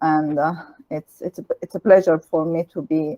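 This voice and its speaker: In an Italian accent, a woman speaks with a dark, mellow tone, the sound dry and close with no echo. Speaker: Islamic lecturer. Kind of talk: lecture.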